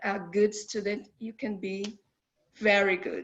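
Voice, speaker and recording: A woman with a Portuguese accent, fairly high in pitch, at a very slow pace. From Brazil. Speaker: international student. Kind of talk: virtual Q&A session. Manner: halting.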